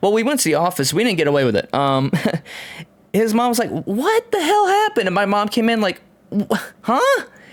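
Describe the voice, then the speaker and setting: Over noticeable background noise, a man talks at a fairly quick pace with very even loudness and long, frequent pauses. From Tennessee. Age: 30s. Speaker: podcast host. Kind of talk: casual chat.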